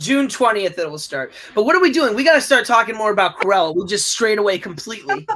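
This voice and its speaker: Raised and projected, a man's high-pitched voice races at a very fast pace with hardly any pauses and very wide pitch swings, with noticeable background noise behind it. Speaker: co-host of movie discussion. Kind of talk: casual chat. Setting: live stream. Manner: loud.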